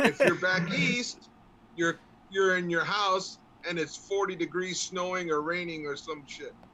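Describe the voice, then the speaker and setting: Talking with an American accent, a man has a high pitch. He goes at a fairly slow pace with noticeable background noise. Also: ordinary pitch variation. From Los Angeles. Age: 60s. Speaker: sports talk co-host. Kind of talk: casual chat.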